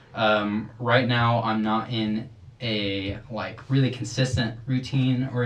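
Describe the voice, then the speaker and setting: A man speaks at a medium pitch with fairly even intonation. Audible room echo and noticeable background noise fill the recording. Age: 20s. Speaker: window cleaner and church guitarist, host's younger brother. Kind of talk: casual chat; reading aloud.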